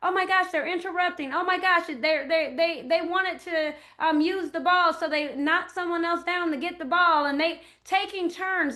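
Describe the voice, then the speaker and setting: A woman projects a raised voice at an extremely high pitch with a bright, sharp tone. Audible room echo surrounds it. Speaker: early childhood educator and speaker. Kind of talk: lecture. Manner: halting, many fillers.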